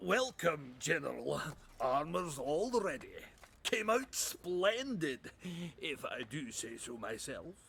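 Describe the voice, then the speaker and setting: In a put-on character voice, the speaker goes at a fairly slow pace. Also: man, high pitch for a man. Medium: video game. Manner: gruff, blustering.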